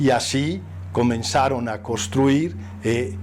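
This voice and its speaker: A man with a Spanish accent, audible room echo and music in the background. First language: Spanish (speaking Portuguese). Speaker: priest. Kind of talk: interview testimony. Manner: halting.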